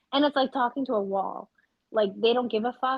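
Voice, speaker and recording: The delivery is very fast and animated in tone, with ordinary pitch variation. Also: woman. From Canada, Vancouver. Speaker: podcast co-host. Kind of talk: casual chat. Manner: loud.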